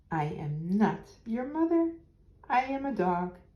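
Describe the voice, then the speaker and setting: Putting on a character voice, a woman speaks at a fairly slow pace with a fairly high pitch and very wide pitch swings. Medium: read story.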